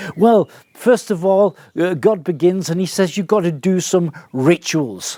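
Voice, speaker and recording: A man at a high pitch, with ordinary pitch variation and a fairly slow pace, the sound dry and close with no echo. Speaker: Bible teacher. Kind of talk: Bible teaching talk. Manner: halting, many repetitions.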